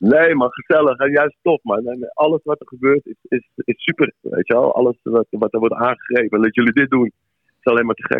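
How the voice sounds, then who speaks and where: Speaking fairly quickly at a medium pitch, a man uses ordinary pitch variation with big swings in loudness. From Amsterdam, Netherlands. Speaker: musician. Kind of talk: casual chat. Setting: phone call.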